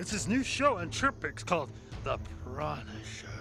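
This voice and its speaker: A man's cartoonish character voice at a moderate pace, with clear music in the background. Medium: puppet.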